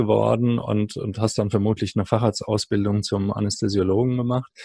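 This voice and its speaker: The tone is dark and mellow, the intonation monotone and flat. Delivery comes at a moderate pace in a dry, close sound with no echo. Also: man. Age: 50s. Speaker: podcast host. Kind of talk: interview.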